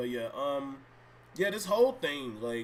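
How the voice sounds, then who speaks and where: The speaker is a man with a fairly high pitch. Noticeable background noise runs under his voice. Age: 20s. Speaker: gaming streamer. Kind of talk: casual live stream chat. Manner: rambling, many fillers.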